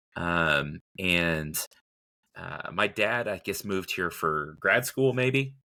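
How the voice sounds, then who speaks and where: In a Texan accent, a bright, sharp voice moves at a very slow pace with lively intonation on a very clean recording with a silent background. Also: man, very deep, low pitch for a man. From Texas (Lubbock). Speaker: plant expert. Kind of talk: casual chat.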